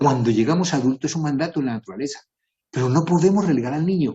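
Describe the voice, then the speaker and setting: With lively intonation and a somewhat breathy quality, a man talks at a very fast pace. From Colombia. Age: 60s. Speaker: writer and composer giving a talk.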